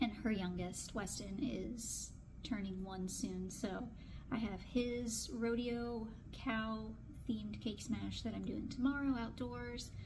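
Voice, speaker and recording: Noticeable background noise and audible room echo surround the woman as she speaks. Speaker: newborn photographer. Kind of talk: casual vlog tutorial. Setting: photo studio. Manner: fast.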